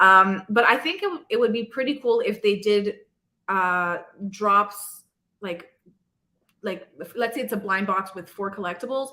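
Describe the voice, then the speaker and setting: A woman's bright, sharp voice at medium pitch with a non-native accent, ordinary pitch variation, big swings in loudness, a fairly slow pace and long, frequent pauses. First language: not English. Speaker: live stream host interviewing creators. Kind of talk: casual chat. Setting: live stream.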